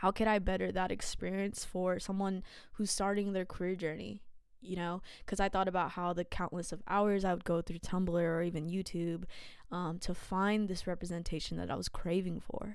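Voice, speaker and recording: In a Californian accent, a woman speaks at a medium pitch with monotone, flat intonation. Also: moderate pace. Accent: Californian American English. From California, San Jose. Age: 20s. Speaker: podcast host. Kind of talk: casual monologue.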